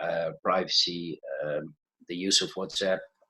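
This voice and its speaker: A man is speaking. He has a Dutch accent. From Netherlands. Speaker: IT manager and conference speaker. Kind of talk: conference talk. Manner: halting, many fillers.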